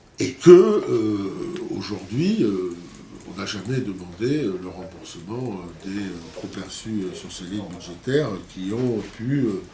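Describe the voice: In a room with audible echo, a man with a low pitch and a dark, mellow tone speaks at a fairly slow pace.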